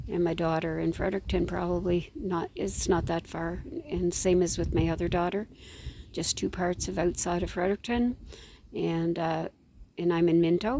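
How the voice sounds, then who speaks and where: A woman with a Maritime Canadian accent talks at a moderate pace. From Canada, New Brunswick. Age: 70s. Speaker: vlogger grandmother. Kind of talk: casual vlog chat. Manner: rambling, halting.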